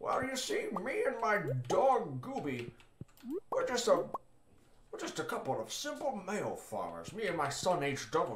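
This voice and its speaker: Using a put-on character voice at a high pitch, a man speaks at a fairly slow pace with long, frequent pauses and audible echo. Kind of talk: folksy, rustic.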